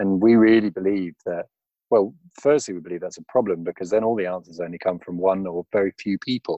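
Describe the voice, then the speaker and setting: A man's fairly low, dark, mellow voice at a very fast pace. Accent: British. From England. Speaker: management consultant. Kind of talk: casual interview chat. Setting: remote call.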